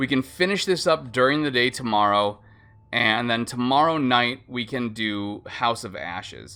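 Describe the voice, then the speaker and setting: A bright, sharp tone from a man at a moderate pace, in a very clean recording with a silent background. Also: medium pitch for a man, ordinary pitch variation. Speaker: gaming streamer. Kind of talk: live stream commentary. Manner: casual, halting.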